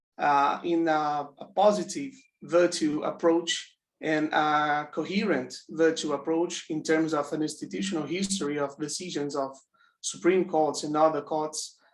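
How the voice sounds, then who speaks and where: Speaking at a fairly slow pace with a non-native accent, a man uses a fairly high pitch and ordinary pitch variation. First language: not English. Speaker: audience member asking question. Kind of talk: academic Q&A. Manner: halting, many fillers.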